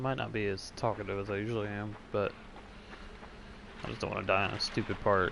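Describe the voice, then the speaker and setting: Quiet and fairly low-pitched, a man talks at a fairly quick pace broken by long, frequent pauses. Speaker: gaming streamer. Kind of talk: gameplay commentary. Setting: at home early morning.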